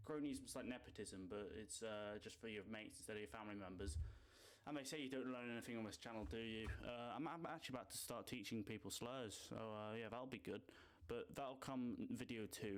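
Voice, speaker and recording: With a British accent, a man speaks very fast at a medium pitch and with ordinary pitch variation. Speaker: esports commentator YouTuber. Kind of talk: casual commentary. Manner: animated.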